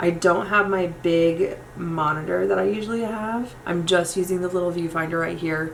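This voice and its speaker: A woman with an American accent speaks with hardly any pauses against noticeable background noise. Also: fairly low pitch for a woman, ordinary pitch variation. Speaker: makeup youtuber. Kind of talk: tutorial. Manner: fast; casual, chatty.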